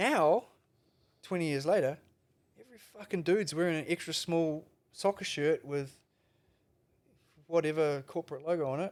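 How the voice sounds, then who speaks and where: With a New Zealand accent, a man speaks at a moderate pace and a fairly high pitch, using ordinary pitch variation, big swings in loudness and long, frequent pauses. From New Zealand, Palmerston North. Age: 50s. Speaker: veteran skateboarder. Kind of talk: casual chat. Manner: animated.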